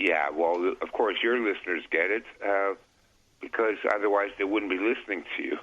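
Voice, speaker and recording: An unremarkable speaking voice from a man, fairly low in pitch, with fairly even intonation, a moderate pace and very even loudness. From Canada. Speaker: political commentator. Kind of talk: casual interview chat.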